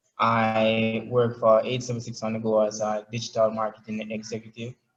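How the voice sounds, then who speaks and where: A man with a Jamaican accent, medium pitch, monotone flat intonation and a fairly slow pace. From Jamaica, Saint Thomas. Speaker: app founder and digital marketer. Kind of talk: interview. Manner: many fillers, halting.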